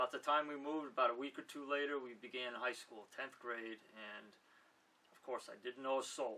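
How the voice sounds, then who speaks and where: Speaking at a moderate pace, a man talks in a New York accent. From Manhattan, New York City. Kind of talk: interview answer. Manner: casual, conversational.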